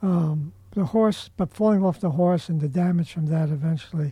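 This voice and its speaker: This man has a high-pitched voice with a dark, mellow tone. His pitch varies in an ordinary way. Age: 80s+. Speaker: podcast host. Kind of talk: casual chat. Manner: halting.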